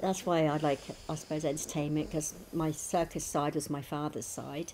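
Fairly even intonation over light background noise. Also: woman. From southern England. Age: 60s. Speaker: cancer patient fundraising; interviewee. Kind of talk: interview. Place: home room.

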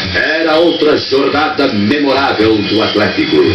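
A man at a very slow pace, with clear music in the background. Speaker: documentary narrator. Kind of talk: documentary narration. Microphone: old recording.

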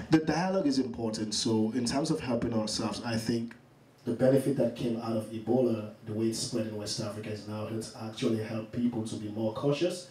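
Man's voice at a fairly quick pace with ordinary pitch variation and audible room echo. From Sierra Leone. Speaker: charity campaign founder; talk show guest. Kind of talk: interview.

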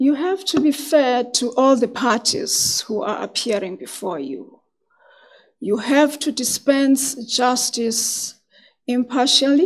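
Against a quiet background, a woman speaks at a high pitch and a very slow pace. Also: ordinary pitch variation. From South Africa. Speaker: magistrate and judicial candidate; candidate. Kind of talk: formal job interview. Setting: hearing room with microphones. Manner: soft-spoken. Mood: formal, composed. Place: meeting room. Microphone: podium.

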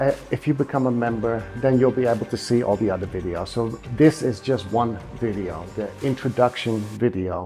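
Over faint music in the background, a man talks at a moderate pace with ordinary pitch variation. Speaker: kettlebell fitness coach. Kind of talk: promotional explanation to camera. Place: home room.

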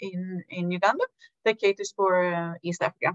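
Over a quiet background, a woman talks at a very slow pace with ordinary pitch variation. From Sweden. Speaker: health foundation director; presenter. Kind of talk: webinar presentation. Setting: video call. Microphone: video call.

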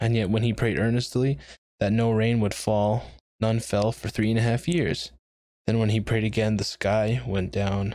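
Dry sound with no echo over a quiet background. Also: man. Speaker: home bible study vlogger. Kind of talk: casual bible study talk. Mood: relaxed, friendly. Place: home room. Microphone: studio mic.

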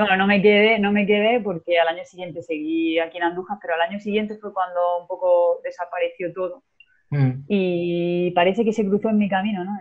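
A woman speaks at a fairly quick pace. The background is quiet. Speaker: guest. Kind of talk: interview answer. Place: home room. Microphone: video call.

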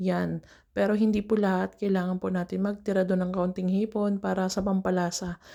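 Against a very clean recording with a silent background, a woman speaks at a medium pitch and fairly quick pace, in a flat monotone with very even loudness. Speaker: domestic worker vlogger. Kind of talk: cooking vlog. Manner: casual, chatty.

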